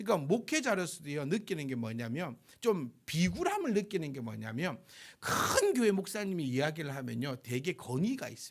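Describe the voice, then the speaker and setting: Very wide swings in pitch from a man speaking fairly high. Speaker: pastor. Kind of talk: sermon. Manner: fast.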